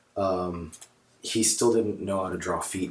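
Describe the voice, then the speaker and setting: A man speaks at a very deep, low pitch over noticeable background noise. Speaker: comic book collector. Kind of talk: casual talk to camera. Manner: hesitant, many fillers.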